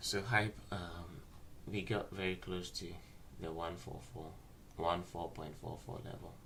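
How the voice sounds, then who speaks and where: Speaking at a fairly slow pace with long, frequent pauses, a man with a very deep, low pitch and a bright, sharp tone is heard with audible room echo. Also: fairly even intonation. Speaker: trading analyst livestreamer. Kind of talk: market analysis livestream.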